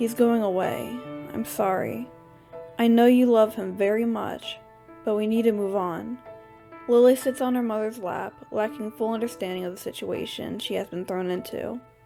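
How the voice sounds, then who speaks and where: A woman's fairly high-pitched voice with music in the background. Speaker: amateur story reader. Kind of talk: audiobook story reading. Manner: slight lisp.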